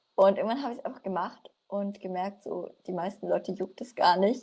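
The tone is dark and mellow, with some breathiness. The speech moves at a moderate speed. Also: woman. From Franconia, Germany (Nürnberg). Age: 20s. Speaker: coaching client, student. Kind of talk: casual interview.

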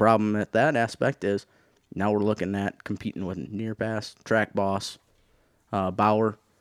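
Heard on a very clean recording with a silent background and a dry, close sound with no echo, a normal speaking voice with an American accent keeps a fairly even intonation. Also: man. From Michigan, Thumb region. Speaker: tractor puller. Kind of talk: casual chat. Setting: studio.

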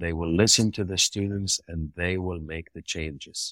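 A man with a very deep, low pitch and ordinary pitch variation speaks at a fairly slow pace, with a dry, close sound with no echo on a very clean recording with a silent background. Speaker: pharmacy college dean. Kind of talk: interview.

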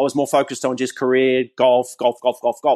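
With an Australian accent, a man talks at a very fast pace, the sound dry and close with no echo. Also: quiet background. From Australia, New South Wales. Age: 40s. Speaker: professional golfer. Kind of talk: interview.

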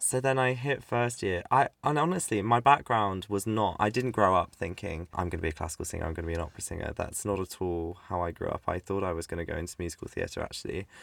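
A man with a fairly low voice and a British accent speaks at a very fast pace, with lively intonation and hardly any pauses. The recording is very clean, with a silent background. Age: young (19). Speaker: music student and podcast co-host. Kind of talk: casual chat. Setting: home recording, mic under a desk with a duvet. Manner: animated, laughing often.

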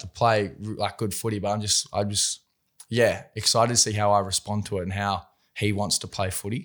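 On a very clean recording with a silent background, a man speaks fairly quickly. His voice is fairly low. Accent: Australian. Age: 20s. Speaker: professional rugby league player. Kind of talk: casual chat. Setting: studio.

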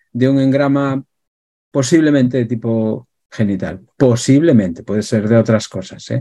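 The man's voice has a dark, mellow tone. He talks rather slowly. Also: medium pitch for a man, ordinary pitch variation. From Galicia, Spain. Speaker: emotional therapist. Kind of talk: interview talk.

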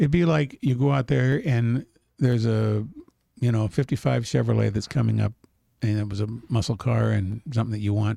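At a fairly quick pace, a man speaks at medium pitch in a dark, mellow, somewhat breathy tone with ordinary pitch variation. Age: 60s. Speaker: gold dealer and company CEO. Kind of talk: casual interview.

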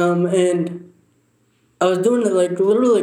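High in pitch for his sex, the man's voice comes through. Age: 20s. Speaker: accident survivor and father. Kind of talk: casual chat. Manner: slurred speech from injury.

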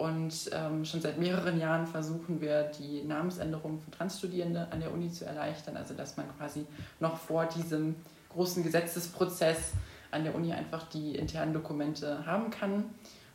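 A woman with a fairly low, somewhat breathy voice speaks in a monotone, flat intonation. Room echo is audible. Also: moderate pace. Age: 20s. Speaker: student activist. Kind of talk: interview.

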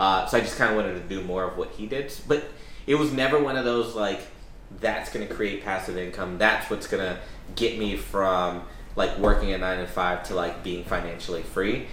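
Amid noticeable background noise and audible room echo, a man with a fairly low pitch speaks at a moderate pace. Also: ordinary pitch variation. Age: 30s. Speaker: real estate investor, podcast host. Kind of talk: casual chat.

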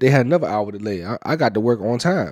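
This man speaks at a fairly quick pace and a medium pitch. His pitch varies in an ordinary way. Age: 30s. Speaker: podcast co-host. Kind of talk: casual chat.

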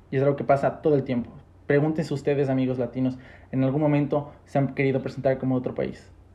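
A man's medium-pitched voice comes through somewhat breathy, dark and mellow in tone, with monotone, flat intonation. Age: 20s. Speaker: podcast host. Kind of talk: casual chat.

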